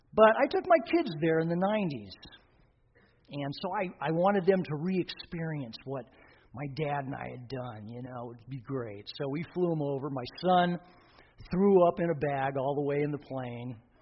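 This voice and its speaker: A somewhat breathy voice at a moderate pace, with lively intonation and big swings in loudness. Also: man, fairly high pitch for a man. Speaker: pastor. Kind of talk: sermon.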